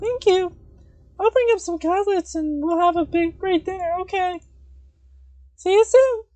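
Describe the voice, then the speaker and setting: Put on as a character voice, this extremely high-pitched delivery moves at a moderate pace with long, frequent pauses. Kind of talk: game dialogue read aloud by streamer. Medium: game stream. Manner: intense, fixated.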